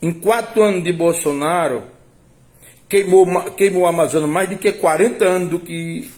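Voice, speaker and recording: A man speaks at a fairly slow pace. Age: 60s. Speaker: political commentator. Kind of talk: political commentary monologue. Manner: halting, with repetitions.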